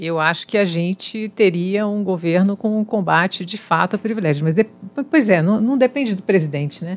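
With an unremarkable speaking voice, a woman talks at a moderate pace in a medium pitch, using ordinary pitch variation and hardly any pauses. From Espírito Santo, Brazil. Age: 50s. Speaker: civil engineer and university professor; university professor. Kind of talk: casual chat; interview answer. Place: studio. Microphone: studio mic.

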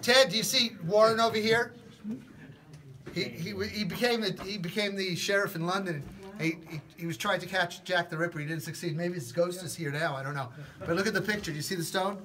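Against light background noise, a man talks at a fairly quick pace with ordinary pitch variation. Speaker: tour guide. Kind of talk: guided tour explanation. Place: tunnel cave. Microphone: phone near.

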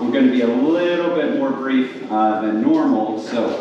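With strong room echo and light background noise, a man speaks at a fairly slow pace with fairly even intonation. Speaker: preacher. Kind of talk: sermon. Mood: warm, light-hearted opening. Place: hall. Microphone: camera far.

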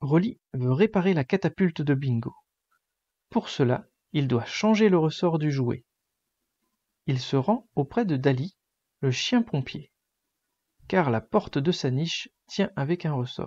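In a gentle, soothing tone, the voice moves at a very slow pace with long, frequent pauses against a quiet background. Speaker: bedtime story narrator. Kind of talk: bedtime story reading aloud, children's story. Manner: gentle, soothing, slow storytelling pace.

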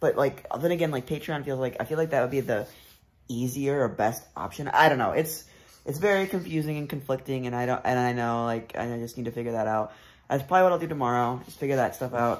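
A man rattles along at a very fast pace, his pitch varying in an ordinary way. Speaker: vlogger. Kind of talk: casual vlog chat. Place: home room. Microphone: phone near.

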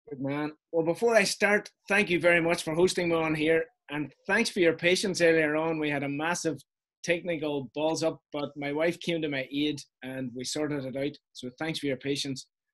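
A man speaks with a Donegal accent at a moderate pace over a quiet background. His pitch is fairly high with ordinary variation. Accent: Irish, Donegal. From northwest Ireland, Donegal. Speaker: interview guest, wedding photographer. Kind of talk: interview answer. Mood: warm, grateful, chatty. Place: home room. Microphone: video call.

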